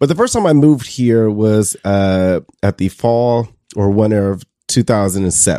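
The sound is dry and close, with no echo. A man with an American accent speaks at a moderate pace in a dark, mellow, fairly low voice with ordinary pitch variation. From Detroit, Michigan. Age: 30s. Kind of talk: casual interview. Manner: halting.

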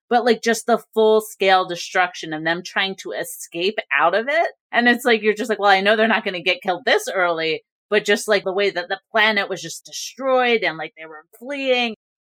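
A woman with a fairly high pitch talks at a moderate pace in an ordinary speaking voice, her pitch varying in an ordinary way. The sound is dry and close with no echo, her loudness swings widely, and she hardly pauses at all. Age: 40s. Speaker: entertainment journalist. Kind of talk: casual chat.

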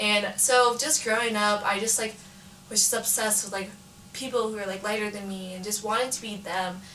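Over noticeable background noise, a woman with an American accent talks at a fairly quick pace, with a fairly high pitch and fairly even intonation. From California, East Bay. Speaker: college student. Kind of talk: casual chat.

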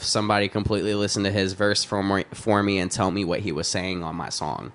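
A man with an American accent speaks at a very fast pace and a fairly low pitch. Noticeable background noise runs underneath. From Texas. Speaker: rapper. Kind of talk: casual chat. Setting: studio.

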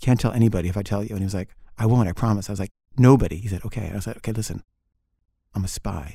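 A man's fairly low, dark, mellow and somewhat breathy voice at a very fast pace, broken by long, frequent pauses. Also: ordinary pitch variation. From Switzerland (moved to US around age 12). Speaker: storyteller. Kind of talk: personal anecdote. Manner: casual, halting with repeated words.

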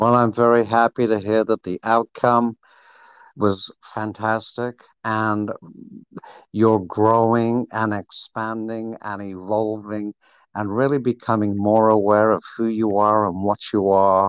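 This man's pitch sits fairly low, and his intonation is monotone and flat. He speaks at a fairly slow pace in a quiet background, with a dry, close sound and no echo. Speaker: acupuncturist. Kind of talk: interview. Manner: calm.

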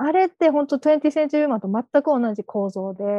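A woman's voice with a dark, mellow tone swings very widely in pitch. The sound is dry and close, with no echo. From Wakayama, Japan. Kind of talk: panel discussion.

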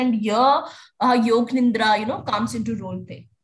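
This woman's fairly high, somewhat breathy voice moves at a fairly quick pace. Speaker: podcast host. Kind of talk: casual interview.

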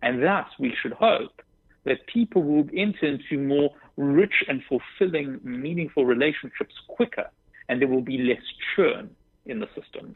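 Speaking with a South African accent, a man has a fairly high pitch. His intonation is lively and his pace moderate. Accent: South African English, often heard as British. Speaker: dating app co-founder. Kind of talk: radio interview. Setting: phone call.

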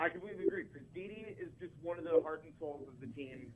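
A man is speaking. His pace is fairly quick. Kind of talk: casual sports chat. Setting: phone call.

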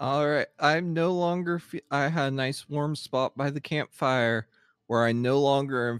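This man has a normal speaking voice, medium in pitch with ordinary pitch variation, at a moderate pace. The recording is very clean, with a silent background and a dry, close sound free of echo. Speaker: player in actual play podcast. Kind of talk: tabletop roleplaying game session.

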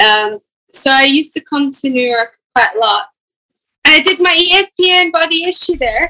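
A woman projects her voice at a high pitch, with a bright, sharp tone and lively intonation. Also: moderate pace. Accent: Scottish. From Scotland. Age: 20s. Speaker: professional golfer. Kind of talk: casual chat.

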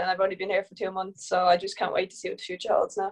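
With an Irish accent, a woman talks at medium pitch in a monotone, flat delivery. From Ireland. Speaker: professional footballer. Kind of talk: casual interview.

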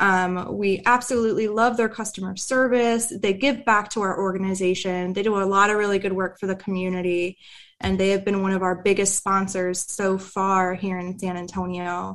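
A plain, everyday voice from a woman with an American accent, medium pitch, fairly even intonation, moderate pace and hardly any pauses, on a very clean recording with a silent background. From US Pacific Northwest, near Tacoma. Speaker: veteran nonprofit manager. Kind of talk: casual chat.

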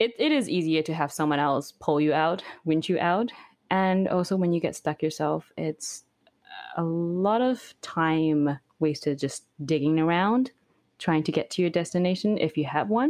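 Against a quiet background, a woman talks at a moderate pace with a fairly low pitch, ordinary pitch variation and very even loudness. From Beijing, China; moved to Canada at 16. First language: Mandarin. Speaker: overlander and video creator. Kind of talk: interview conversation.

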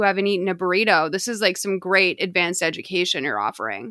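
In an American accent, the speaker goes at a fairly quick pace with a bright, sharp tone on a very clean recording with a silent background. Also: woman. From US Northeast, Lexington, Massachusetts. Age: 30s. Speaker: podcast host and comedy writer. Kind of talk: casual chat.

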